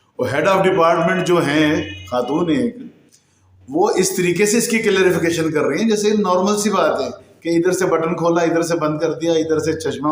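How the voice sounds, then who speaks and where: There is audible room echo around a man with a fairly high pitch. He talks at a moderate pace with ordinary pitch variation. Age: 50s. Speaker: YouTube news commentator. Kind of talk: news commentary monologue.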